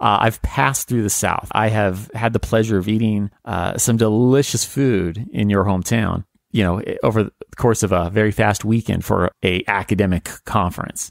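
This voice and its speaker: A man speaks in a normal speaking voice at a moderate pace, pitched fairly low. The recording is very clean, with a silent background. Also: fairly even intonation. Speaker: history podcast host. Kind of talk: podcast conversation.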